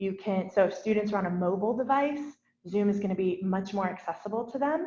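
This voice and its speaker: With ordinary pitch variation, the somewhat breathy voice keeps a fairly quick pace. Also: woman. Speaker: educational technology staff presenter. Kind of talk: workshop tutorial. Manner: fast; casual, enthusiastic.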